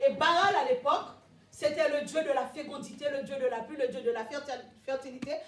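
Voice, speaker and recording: A woman speaks at a high pitch with lively intonation and a fairly quick pace. Room echo is audible. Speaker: preacher. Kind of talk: sermon.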